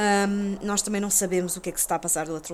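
Against noticeable background noise, a woman talks very fast with fairly even intonation. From Portugal, Lisbon (Chelas). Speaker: video game journalist. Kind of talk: casual chat.

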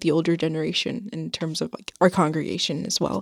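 A woman's fairly low voice with an American accent, vocal fry and ordinary pitch variation. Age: young. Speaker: recent high school graduate, workshop facilitator. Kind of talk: interview. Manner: hesitant, many fillers.

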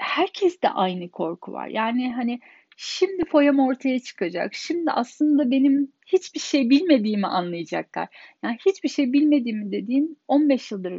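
A woman with a high pitch speaks at a fairly slow pace, her pitch swinging very widely. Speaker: podcaster. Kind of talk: personal monologue.

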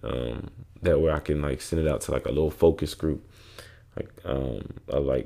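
With a dark, mellow tone, a man talks at a moderate pace using ordinary pitch variation. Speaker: podcast host. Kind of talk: casual solo monologue. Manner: many fillers like um and like.

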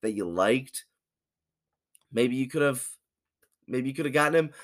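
This man speaks in an animated, passionate tone. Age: 20s. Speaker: sports podcaster. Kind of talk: angry rant about his Lions, fired-up sports commentary. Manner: animated, frustrated, loud, passionate.

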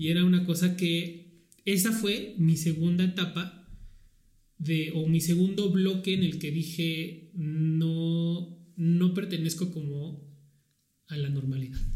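Very slow speech with fairly even intonation and audible room echo. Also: man, high pitch for a man. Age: 30s. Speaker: podcast host. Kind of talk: casual chat.

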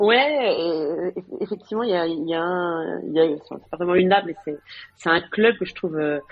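In a fairly low voice, a woman talks at a fairly slow pace with ordinary pitch variation. Her loudness swings widely. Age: 40s. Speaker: tech business executive. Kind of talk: interview. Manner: halting, many fillers and repetitions.

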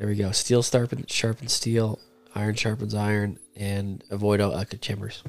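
At a moderate pace, a man with a normal speaking voice talks in a fairly low pitch with fairly even intonation. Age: 30s. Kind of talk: casual chat.

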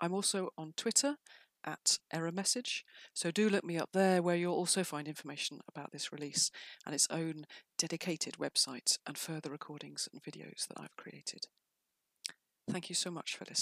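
Using a plain, everyday voice, a woman speaks at a moderate pace in a fairly low pitch, with ordinary pitch variation, big swings in loudness, and a dry, close sound with no echo. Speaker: poet and writer. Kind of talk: poetry reading and introduction.

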